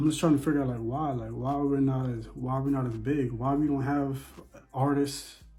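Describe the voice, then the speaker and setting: A man with an American accent, fairly high-pitched, flat and monotone, at a moderate pace, with audible room echo and music in the background. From Bahamas. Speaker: vlogger. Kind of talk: casual monologue.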